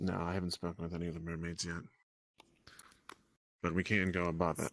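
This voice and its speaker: Putting on a character voice, a man talks at a very fast pace in a raspy, very deep, low pitch with monotone, flat intonation. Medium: game stream. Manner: hesitant, hedging.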